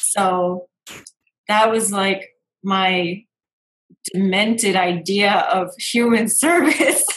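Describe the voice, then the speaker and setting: A woman speaks at a medium pitch in a somewhat breathy voice, with ordinary pitch variation. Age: 30s. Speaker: intuitive business coach and podcast host. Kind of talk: casual chat.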